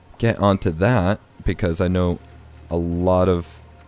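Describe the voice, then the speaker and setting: A man talks in a very deep, low pitch while music plays behind him. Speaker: gaming video creator. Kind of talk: let's play commentary. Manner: casual, rambling.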